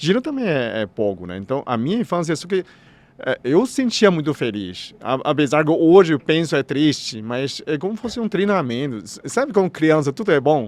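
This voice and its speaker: The voice moves through very wide pitch swings. Its pace is moderate. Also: man, fairly high pitch for a man. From China. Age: 60s. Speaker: doctor of Chinese medicine. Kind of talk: podcast interview. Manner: halting.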